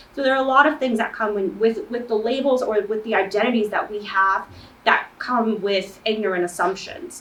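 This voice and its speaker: The speaker has a non-native accent and talks at a moderate pace with ordinary pitch variation. Noticeable background noise is present. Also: woman, fairly high pitch for a woman. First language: not English. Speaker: student panelist. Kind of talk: panel discussion.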